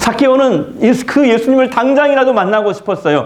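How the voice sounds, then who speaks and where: Audible room echo and noticeable background noise around a man's speech. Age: 70s. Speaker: pastor. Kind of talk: sermon.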